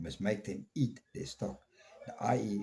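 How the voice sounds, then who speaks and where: The voice has a dark, mellow tone with vocal fry. It moves at a moderate pace. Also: man. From South Africa. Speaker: podcast host. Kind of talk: opinion monologue. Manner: slurred at times; animated.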